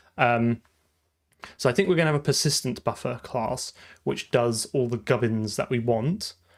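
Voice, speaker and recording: A man speaks with a normal speaking voice at medium pitch and a moderate pace. His pitch varies in an ordinary way, and the recording is very clean with a silent background. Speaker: programmer live streamer. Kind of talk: live coding stream.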